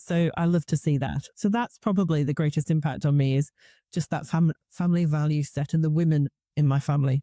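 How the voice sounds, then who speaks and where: A woman's very deep, low voice with a dark, mellow tone and a slight northeast English accent, fairly even intonation, very even loudness and a fairly quick pace, in a dry, close, very clean recording with a silent background. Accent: slight northeast English twang. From Newcastle, northeast England. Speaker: conference speaker. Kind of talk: casual interview chat.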